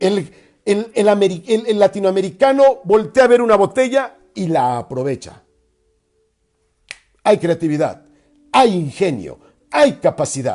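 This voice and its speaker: A high-pitched male voice at a fairly slow pace, with very wide pitch swings and long, frequent pauses. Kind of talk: religious radio talk.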